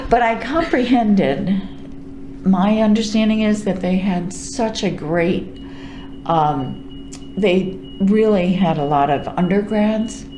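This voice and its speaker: With audible room echo and noticeable background noise, a woman with an American accent speaks at a very slow pace, with long, frequent pauses and ordinary pitch variation. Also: medium pitch for a woman. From New York. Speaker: retiring librarian. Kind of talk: oral history interview. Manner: halting with fillers.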